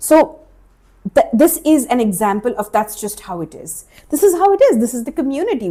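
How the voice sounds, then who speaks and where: A woman with an Indian accent and very wide pitch swings. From India, Maharashtra. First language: Marathi. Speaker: life coach and podcast host. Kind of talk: solo podcast monologue. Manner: casual, conversational with fillers.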